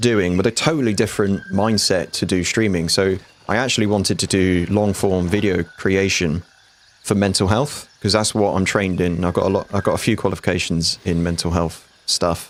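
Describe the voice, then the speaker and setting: Fairly low and fairly even in intonation, a man's voice carries a British accent. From UK. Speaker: gaming streamer. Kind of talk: live gameplay stream commentary. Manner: casual, chatty.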